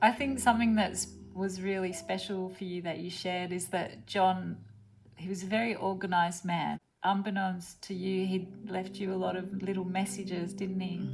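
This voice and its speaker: A woman speaks in a medium pitch with a somewhat breathy voice. Her intonation stays fairly even. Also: moderate pace. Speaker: interviewer, artist and grief educator. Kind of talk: interview questions.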